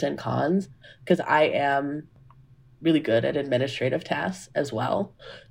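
A woman with an American accent and a very deep, low pitch, vocal fry, a moderate pace, and a quiet background. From US South, Georgia (Grayson). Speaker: neuroscience postdoctoral researcher. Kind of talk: casual interview.

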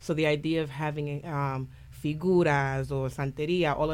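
A woman's very deep, low voice. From Puerto Rico, later raised in New Haven. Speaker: musical theater performer. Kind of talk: radio interview. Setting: radio studio.

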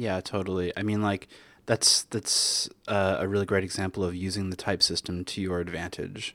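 A man's very deep, low voice with a Canadian accent, bright and sharp in tone, flat and monotone at a moderate pace, on a very clean recording with a silent background. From Canada. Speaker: software developer and conference speaker. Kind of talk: casual interview. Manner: hesitant, many fillers and repetitions.

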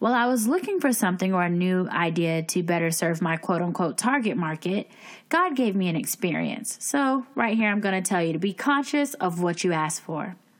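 Speaking with hardly any pauses, a woman in a plain, everyday voice keeps a medium pitch and lively intonation. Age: 20s. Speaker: podcast host and life coach. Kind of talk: casual chat. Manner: scripted narration.

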